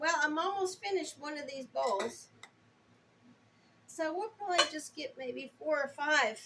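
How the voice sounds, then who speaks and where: A woman speaks in a raised, projected voice with a high pitch and a bright, sharp tone. Her intonation is lively, her pace fairly slow, with long, frequent pauses. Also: big swings in loudness. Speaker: homesteader. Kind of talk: casual cooking talk to camera.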